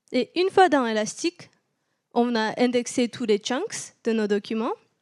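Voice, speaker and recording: A woman speaks fairly slowly at a high pitch. The sound is dry and close with no echo, on a very clean recording with a silent background. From southern France (Toulouse). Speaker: tech company partner strategist, meetup speaker. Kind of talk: technical conference talk. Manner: hesitant, many fillers.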